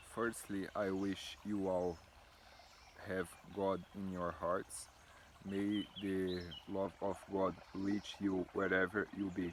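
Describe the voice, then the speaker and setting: A man with a Brazilian accent speaks at a very slow pace, leaving long, frequent pauses. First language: Portuguese. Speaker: builder. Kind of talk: testimony. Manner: halting.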